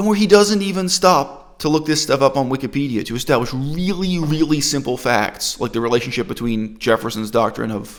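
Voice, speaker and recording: An unremarkable speaking voice, this man's is fairly high-pitched, with lively intonation, a fairly quick pace and hardly any pauses. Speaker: video commentator, critic. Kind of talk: critical commentary, lecture-like.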